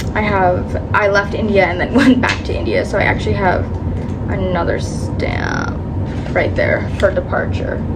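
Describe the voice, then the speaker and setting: A woman with a Canadian accent speaks at a moderate pace, with audible room echo and noticeable background noise. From Canada. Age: 20s. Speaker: travel vlogger. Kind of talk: casual vlog talk. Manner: casual, filler-heavy.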